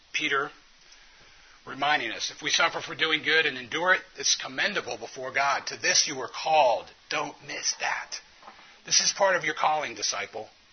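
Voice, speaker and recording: Noticeable background noise sits behind a man with an American accent. He speaks at a moderate pace, his fairly high pitch showing ordinary variation and his loudness swinging widely. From US South. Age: 40s. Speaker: physician and conference speaker. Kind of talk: conference talk. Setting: conference room with audience.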